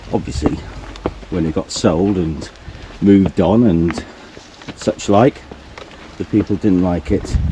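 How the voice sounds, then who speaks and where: A man with a Norfolk accent and a very deep, low pitch, with ordinary pitch variation, long, frequent pauses and noticeable background noise. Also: fairly slow pace. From Norfolk, England. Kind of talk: casual walking tour narration.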